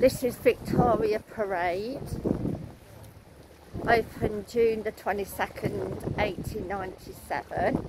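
Speaking slowly, a woman has a slightly mellow tone and fairly even intonation over faint background noise. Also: medium pitch for a woman.

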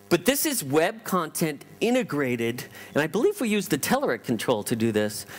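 With an American accent, a man speaks at a moderate pace over faint background music. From US West Coast, Los Angeles. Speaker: tech company founder, keynote speaker; keynote speaker. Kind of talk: conference keynote. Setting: stage with audience. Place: hall.

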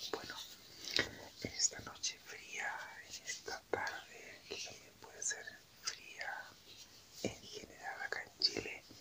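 Very slow whispering, full of long, frequent pauses, is heard against noticeable background noise. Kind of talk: ASMR whisper talk. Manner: whispered; soft-spoken.

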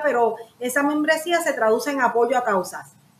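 A high-pitched woman at a moderate pace, with light background noise and audible room echo. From Puerto Rico, raised in San Juan; Puerto Rico. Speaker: lawyer, pastor and coach running an adaptive sports foundation; podcast guest. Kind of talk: interview. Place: home room.

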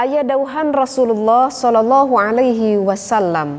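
Talking at a fairly slow pace, a woman has a plain, everyday voice with a fairly high pitch and ordinary pitch variation. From West Java, Indonesia (Sundanese). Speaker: religious teacher. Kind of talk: lecture. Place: hall.

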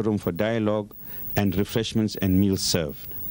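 At a moderate pace, a man talks in a normal speaking voice of medium pitch. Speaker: Islamic organization representative. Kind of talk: formal address. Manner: formal.

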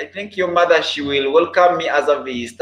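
A man's voice carries an audible room echo. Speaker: live streamer. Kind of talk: casual live stream chat with viewers. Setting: live stream online. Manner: repeats phrases, halting. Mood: relaxed, friendly, laughing. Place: home room. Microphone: webcam.

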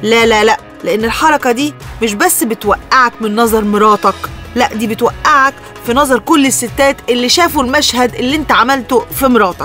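A woman with an Egyptian accent, lively intonation and a moderate pace, in a dry sound with no echo over faint background music. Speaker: radio show host. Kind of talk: radio talk show advice. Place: studio.

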